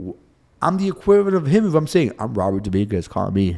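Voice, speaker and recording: With very wide pitch swings and an animated tone, a man talks at a fairly quick pace. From Cuba. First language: Spanish. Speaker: personal injury attorney. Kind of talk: interview.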